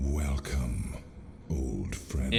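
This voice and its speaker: In a put-on character voice, a man speaks at a very deep, low pitch over clear background noise. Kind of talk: epic fantasy voice acting. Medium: virtual streamer. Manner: solemn, archaic.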